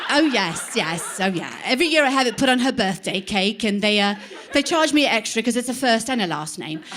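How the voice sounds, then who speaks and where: With an English accent, a woman speaks at a fairly high pitch and a fairly quick pace, her tone animated. Her pitch swings very widely, and noticeable background noise is present. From England. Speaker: comedian. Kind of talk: stand-up. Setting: stage with audience.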